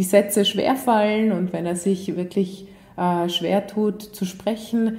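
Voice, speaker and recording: A woman speaking at a fairly slow pace. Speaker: psychologist and author. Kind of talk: interview. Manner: hesitant with fillers.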